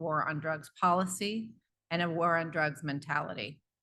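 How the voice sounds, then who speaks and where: A woman speaks at a fairly quick pace in a fairly low voice. Her pitch moves in an ordinary way. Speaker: public health official. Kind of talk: conference presentation. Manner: fast.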